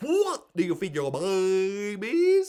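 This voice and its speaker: A man uses a put-on character voice pitched high. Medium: read story. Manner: cheery, wide-mouthed.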